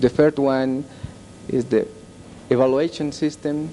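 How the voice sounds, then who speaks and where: A man with a Bolivian accent speaks at a fairly high pitch. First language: Spanish. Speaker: performance contract expert. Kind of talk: panel discussion. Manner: halting.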